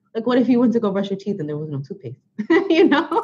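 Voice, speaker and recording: A woman speaks with a New York accent. Her voice is somewhat breathy and her pitch swings very widely. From Brooklyn, New York. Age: 30s. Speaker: author and blogger. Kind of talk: interview.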